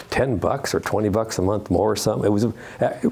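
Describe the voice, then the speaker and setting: A man talks with a fairly low pitch and ordinary pitch variation. Noticeable background noise sits behind him. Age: 70s. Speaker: retired judge giving a travel talk. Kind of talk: Q&A after a club presentation. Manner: halting, many false starts and repetitions.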